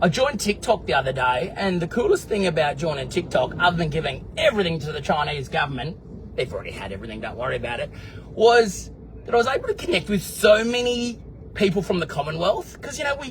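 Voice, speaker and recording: With an Australian accent, a man talks at a very fast pace in an animated tone, his loudness swinging widely. Noticeable background noise runs underneath. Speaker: vlogger. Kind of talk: casual video diary answering live comments.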